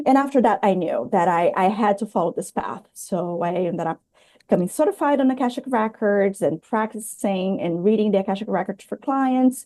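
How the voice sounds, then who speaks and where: This woman talks with lively intonation and a dark, mellow tone in a Portuguese accent, hardly pausing at all. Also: medium pitch for a woman. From Brazil. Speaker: spiritual healer. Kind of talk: interview.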